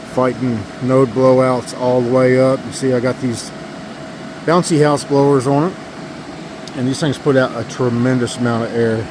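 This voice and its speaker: A man speaks at a medium pitch in a flat, monotone delivery. He leaves long, frequent pauses over noticeable background noise. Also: moderate pace. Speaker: giant pumpkin grower, garden vlogger. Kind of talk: casual garden vlog walkthrough. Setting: outdoors in pumpkin patch.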